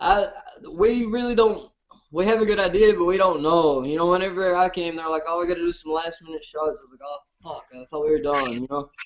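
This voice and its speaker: A man with an American accent talks at a fairly quick pace in a high voice, his pitch moving an ordinary amount while his loudness swings widely. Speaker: reality TV contestant, show host. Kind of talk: casual chat. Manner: hard to understand, fast.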